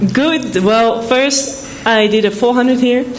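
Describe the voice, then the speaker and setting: A woman talks at a fairly slow pace with ordinary pitch variation. The room echo is audible, and there is noticeable background noise. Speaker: sprinter. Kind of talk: press conference answers. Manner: brief, casual answers.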